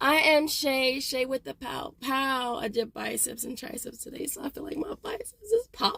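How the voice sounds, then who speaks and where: A woman with a high pitch speaks at a moderate pace with hardly any pauses, lively intonation, an animated tone and big swings in loudness. The sound is dry and close with no echo, with noticeable background noise. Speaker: couponing and deals YouTuber. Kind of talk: casual haul video talk to camera. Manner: animated, chatty with many fillers.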